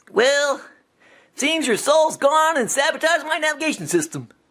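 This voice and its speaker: A put-on character voice talks at a high pitch and a moderate pace. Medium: solo performance. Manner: sarcastic, chatty.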